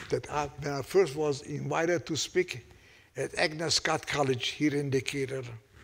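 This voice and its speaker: Speaking at a moderate pace with fairly even intonation, a man with a Hungarian accent has a fairly high pitch. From Hungary. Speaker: Holocaust survivor. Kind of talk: unscripted testimony talk to audience.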